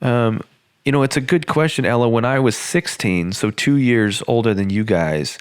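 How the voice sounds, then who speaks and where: A man with a normal speaking voice, medium pitch, lively intonation, very even loudness and a moderate pace, in a very clean recording with a silent background. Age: 20s. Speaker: podcast host. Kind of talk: casual chat.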